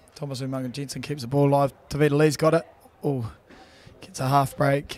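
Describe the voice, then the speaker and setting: Pitched fairly high, a man speaks at a fairly quick pace. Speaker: rugby commentator (player). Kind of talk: live commentary; casual chat. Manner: animated.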